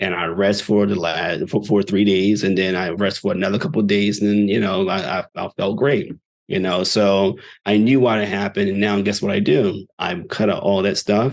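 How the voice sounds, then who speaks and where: The man's voice is fairly low in pitch, with fairly even intonation. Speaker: natural medicine doctor. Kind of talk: lecture. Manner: fast.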